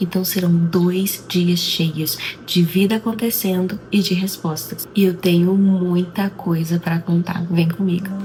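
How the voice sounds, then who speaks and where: Over noticeable background noise, a woman with a Brazilian accent speaks at a fairly slow pace and medium pitch. Her intonation is flat and monotone, her loudness very even, with hardly any pauses. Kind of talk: casual vlog intro to camera.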